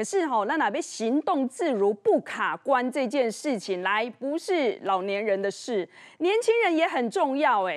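Her pitch is high, with very wide swings. The woman speaks against a quiet background. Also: fairly slow pace. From Taiwan. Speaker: TV show host. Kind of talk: TV cooking and health show hosting. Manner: animated. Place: studio. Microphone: lapel.

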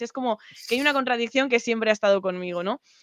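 A woman's high-pitched voice with ordinary pitch variation, dry sound with no echo and a quiet background. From Spain. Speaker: programming streamer; guest. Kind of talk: casual chat. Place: home room. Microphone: video call.

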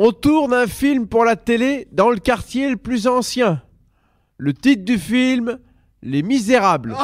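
On a very clean recording with a silent background, a man speaks very slowly at an extremely high pitch with lively intonation. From Sedan, Ardennes, north-eastern France. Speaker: comedian. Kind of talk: stand-up.

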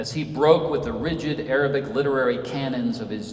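Light background noise and audible room echo surround a man speaking at a medium pitch. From Senegal, West Africa (American family). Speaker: author and Episcopal priest. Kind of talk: lecture. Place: church.

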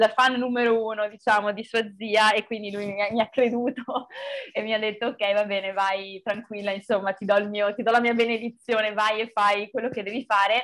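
A quiet background sits behind speech delivered at a fairly quick pace in a monotone, flat intonation. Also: woman. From Veneto, Italy (Montebelluna); Veneto, Italy. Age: 20s. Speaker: film director; interviewee. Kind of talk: interview. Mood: cheerful, smiling. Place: home room. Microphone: video call.

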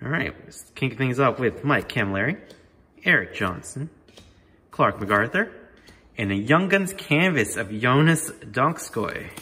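A man's fairly slow delivery with long, frequent pauses, very wide pitch swings and big swings in loudness. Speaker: hockey card YouTuber. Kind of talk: card break commentary. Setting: new home, unfurnished room. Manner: casual. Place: home room. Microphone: room echo; phone near.

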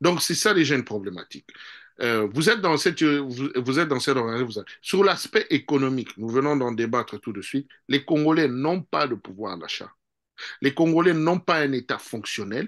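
A man at a moderate pace, fairly high pitch, and lively intonation over a quiet background. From DR Congo. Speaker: political analyst. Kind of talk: political interview. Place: home room. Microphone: video call.

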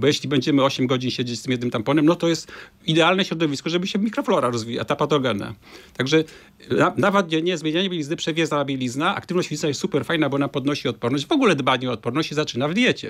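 A man's fairly high-pitched voice at a very fast pace, over a quiet background. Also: ordinary pitch variation. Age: 60s. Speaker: gynecologist; guest. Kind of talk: interview. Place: studio. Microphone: studio mic.

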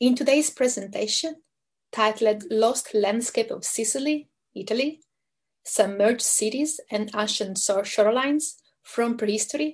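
Against a quiet background, a woman's voice comes out somewhat breathy. She talks at a moderate pace with ordinary pitch variation. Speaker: guest lecturer. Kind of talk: lecture. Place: home room. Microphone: video call.

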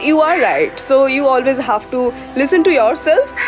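Over clear background music, a woman with a high voice speaks at a fairly slow pace. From India. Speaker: travel writer and vlogger. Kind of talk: casual talk to camera. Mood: calm, earnest advice. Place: garden. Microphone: phone near.

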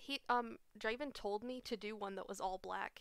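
A woman's cheerful voice with vocal fry and fairly even intonation, dry with no echo against a quiet background. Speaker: live streamer hosting a game night. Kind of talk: casual chat while gaming. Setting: online voice chat, at home with webcam. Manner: laughs often, cheerful. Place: home room. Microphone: headset.

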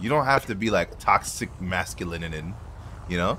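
Speaking at a very fast pace, a man's voice carries vocal fry. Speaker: gaming YouTuber. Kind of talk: casual gaming chat with friends. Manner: animated.

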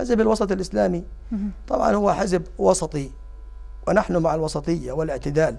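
A man is speaking. His pace is moderate. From Jordan, Amman; Jordan. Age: 50s. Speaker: parliamentary candidate; candidate. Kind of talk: interview. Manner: halting; formal. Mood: calm, earnest. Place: studio. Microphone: lapel.

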